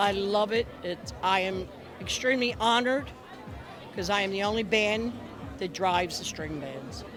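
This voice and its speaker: Music plays in the background as a woman talks in a Philadelphia accent at a medium pitch, with audible room echo. She leaves long, frequent pauses. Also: ordinary pitch variation, moderate pace. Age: 70s. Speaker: bus driver. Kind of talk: on-location interview. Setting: outdoors at a pier event.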